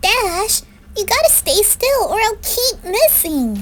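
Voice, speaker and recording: A woman uses a put-on character voice at an extremely high pitch, speaking fairly slowly over clear background noise. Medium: read story. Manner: chirpy, playful.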